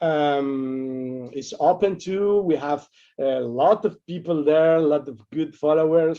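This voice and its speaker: A man with a non-native accent speaks very slowly. His voice is fairly high, with ordinary pitch variation. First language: not English. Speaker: game book author. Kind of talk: interview. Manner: halting, many repetitions.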